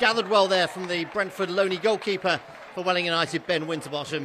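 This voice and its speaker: Over noticeable background noise, a man speaks very fast at a high pitch. His raised, projected voice has an animated tone. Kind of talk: live football commentary. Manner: fast, animated play-by-play delivery, clipped and urgent, rising on chances.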